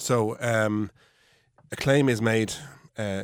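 A man speaks in an Irish accent. His pitch varies in an ordinary way. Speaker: personal injury solicitor. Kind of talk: radio panel discussion. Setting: studio.

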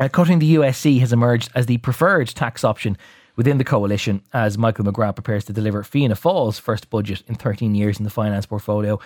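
In an Irish accent, a man talks very fast with hardly any pauses, at medium pitch with ordinary variation, on a very clean recording with a silent background and a dry, close sound with no echo. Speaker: radio host. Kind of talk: current affairs newspaper review. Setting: studio.

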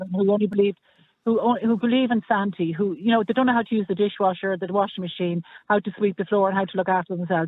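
With an Irish accent, a man speaks at a very fast pace, his high pitch held in fairly even intonation. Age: 60s. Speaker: caller. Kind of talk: radio phone-in debate.

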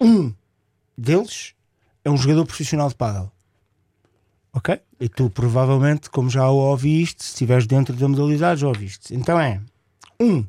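A voice with a dark, mellow tone and lively intonation comes with long, frequent pauses, in a dry, close sound with no echo on a very clean recording with a silent background. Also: man. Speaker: radio co-host, padel promoter. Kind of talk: radio interview. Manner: halting, many fillers.

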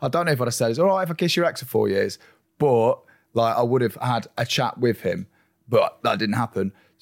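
In an English accent, a man speaks at a fairly quick pace with a medium pitch and lively intonation, the sound dry and close with no echo. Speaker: reality TV contestant. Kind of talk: casual chat. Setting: studio. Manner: loud.

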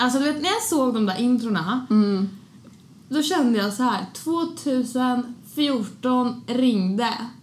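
Over audible room echo, a woman speaks very slowly in a high voice with lively intonation and very even loudness. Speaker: podcast host. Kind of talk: casual chat. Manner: animated.

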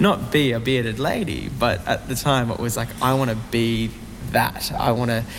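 A man speaks with an Australian accent at a medium pitch and a moderate pace, with ordinary pitch variation. Noticeable background noise is present. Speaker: singer, song contest entrant. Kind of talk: interview.

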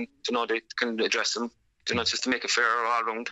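A man speaks with a Cork accent. His pace is very fast. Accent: Cork Irish. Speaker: camogie team manager. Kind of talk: radio interview.

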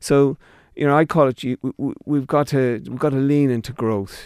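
With an Irish Midlands accent, a man talks fairly slowly and with fairly even intonation, his sound dry and close with no echo on a very clean recording with a silent background. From Ireland, County Longford. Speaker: company managing director. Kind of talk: radio interview. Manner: halting.

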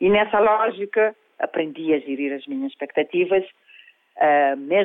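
At a moderate pace, a woman speaks. Her pitch swings very widely. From Cape Verde. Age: 50s. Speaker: life coach. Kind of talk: interview.

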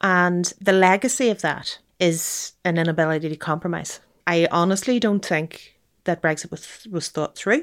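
A woman speaks with a Northern Irish accent at a fairly low pitch. The recording is very clean, with a silent background. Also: ordinary pitch variation, moderate pace. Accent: Derry, Northern Irish. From Northern Ireland, Derry. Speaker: journalist and lawyer. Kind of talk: interview. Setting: in person at guest's home.

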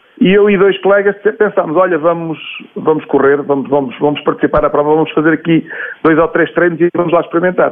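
This man's voice is high in pitch for a man, with ordinary pitch variation and a fairly quick pace. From Portugal, Leiria area. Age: 40s. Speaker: athletics coach. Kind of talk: interview. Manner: hesitant, repeats words.

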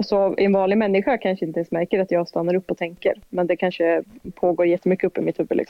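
Speaking at a very fast pace, a woman keeps her medium-pitched voice at very even loudness. Her intonation stays fairly even. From Dalsland, western Sweden. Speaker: police officer. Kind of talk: casual interview.

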